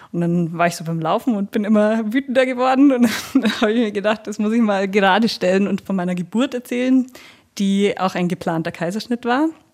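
This woman has an unremarkable speaking voice at a medium pitch. Her pitch varies in an ordinary way, and she talks at a fairly quick pace. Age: 30s. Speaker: special-needs teacher and mother. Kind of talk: interview about her birth story. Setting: at her home.

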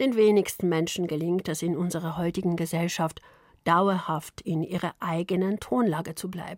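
In a very clean recording with a silent background, a woman speaks in a plain, everyday voice, fairly low in pitch, with fairly even intonation. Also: moderate pace. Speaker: radio journalist. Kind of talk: radio feature narration.

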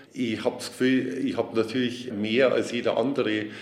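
With monotone, flat intonation, a man talks at medium pitch amid noticeable background noise. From Upper Bavaria, Oberammergau. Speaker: theatre director. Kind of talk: interview.

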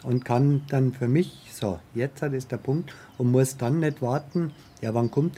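Against noticeable background noise, a man at medium pitch speaks with ordinary pitch variation. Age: 50s. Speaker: wheelchair user with paraplegia. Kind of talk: interview testimony.

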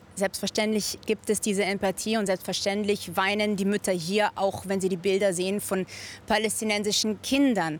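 At a moderate pace, a woman talks in a monotone, flat intonation at a medium pitch, with very even loudness. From Germany, Munich. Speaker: volunteer for hostage families. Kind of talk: studio interview.

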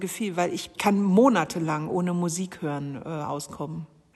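A woman's fairly low voice at a fairly slow pace, with ordinary pitch variation over noticeable background noise. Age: 40s. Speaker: poet. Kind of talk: interview.

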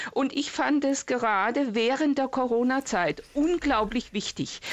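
A woman with a high pitch and lively intonation talks at a fairly slow pace. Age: 60s. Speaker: retired caller. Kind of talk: phone-in call.

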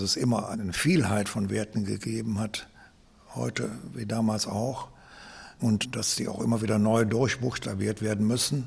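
Here a man with vocal fry speaks at a fairly low pitch. He keeps a moderate pace with fairly even intonation. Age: 70s. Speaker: retired philosophy teacher. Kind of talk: interview.

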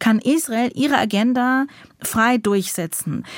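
The woman's voice sounds dry and close with no echo, and her pitch varies in an ordinary way. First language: English or Yiddish (speaking German). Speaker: writer. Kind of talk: interview. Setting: remote line.

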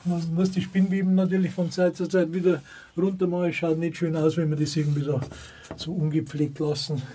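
A man talks at a fairly quick pace in a high, monotone, flat voice. The room echo is audible. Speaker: volunteer chapel caretaker, reservists' club chairman. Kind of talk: on-site interview. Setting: outdoors at a forest chapel.

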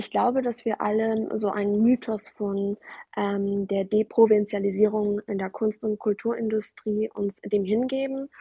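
Fairly slow, somewhat breathy speech from a woman, fairly high in pitch, with monotone, flat intonation. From Germany, arrived as refugee child from Afghanistan. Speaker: artist and author. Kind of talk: interview. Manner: frequent hesitations (ähm).

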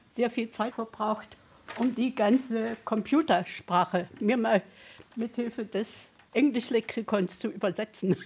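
A somewhat breathy woman speaks at a very slow pace. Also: fairly high pitch for a woman, ordinary pitch variation. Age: 80s+. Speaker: senior centre visitor. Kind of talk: interview.

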